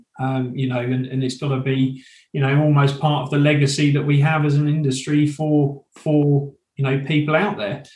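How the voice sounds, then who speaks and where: In an East Anglian accent, the speaker sounds somewhat breathy, with monotone, flat intonation and a moderate pace. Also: man. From eastern England, Suffolk. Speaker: training company sales director. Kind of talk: interview.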